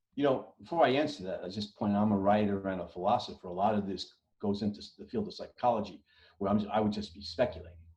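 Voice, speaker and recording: Very fast talk from a man, fairly low and dark, mellow in tone, with ordinary pitch variation and big swings in loudness. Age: 60s. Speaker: writer and philosopher. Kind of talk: interview discussion. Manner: halting, many repetitions and fillers.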